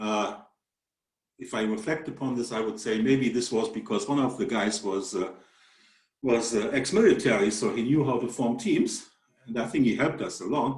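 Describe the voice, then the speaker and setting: A man with a German accent speaks at a moderate pace in a medium pitch, his pitch varying in an ordinary way, with audible echo from the room. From Germany. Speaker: mathematics professor. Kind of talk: webinar presentation. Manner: halting, many fillers.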